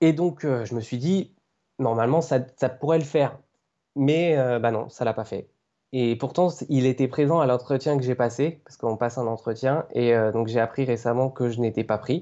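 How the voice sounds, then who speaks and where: Speaking at a moderate pace, a man with medium pitch uses ordinary pitch variation. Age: 20s. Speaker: aspiring video game journalist, blogger. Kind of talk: podcast interview. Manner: hesitant, many fillers.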